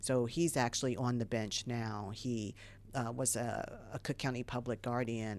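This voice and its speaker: Very deep and low in pitch, a woman with an American accent speaks at a moderate pace with fairly even intonation on a very clean recording with a silent background. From US Midwest (Dayton, Ohio). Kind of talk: radio interview. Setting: studio.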